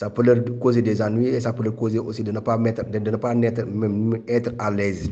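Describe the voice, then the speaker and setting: With a Senegalese accent, a man speaks in a dark, mellow tone at a medium pitch and moderate pace. His intonation is monotone and flat, with hardly any pauses. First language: Wolof (speaking French). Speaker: migrant rights activist. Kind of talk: interview testimony. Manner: halting.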